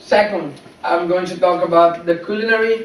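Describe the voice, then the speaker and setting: High-pitched speech from a man with a Brazilian Portuguese accent, fairly slow and fairly even in intonation, amid noticeable background noise and audible room echo. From Brazil, São Paulo. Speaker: English language student. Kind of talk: class presentation speech. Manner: halting, with fillers.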